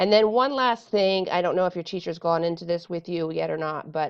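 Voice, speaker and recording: Fairly low in pitch, a woman speaks with ordinary pitch variation in a plain, everyday voice. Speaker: Spanish teacher. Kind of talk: tutorial. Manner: casual with many fillers.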